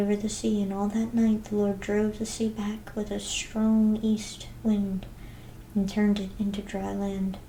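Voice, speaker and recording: Soft-spoken and calm in tone, a woman talks at a moderate pace. Noticeable background noise can be heard. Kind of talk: soft-spoken scripture reading; ASMR reading. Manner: soft-spoken, calm.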